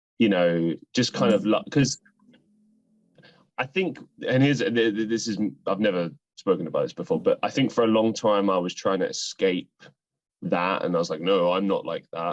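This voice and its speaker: The recording is dry and close with no echo as a man with a British accent talks at a moderate pace. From United Kingdom. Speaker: actor, podcast host and musician. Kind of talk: interview conversation. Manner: rambling, hesitant with fillers.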